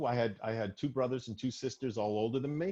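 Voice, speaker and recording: Speaking at a fairly quick pace in an ordinary speaking voice, a man with an American accent uses a medium pitch and ordinary pitch variation. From US Northeast, Arlington near Boston, Massachusetts. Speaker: stand-up comedian. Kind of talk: casual podcast chat.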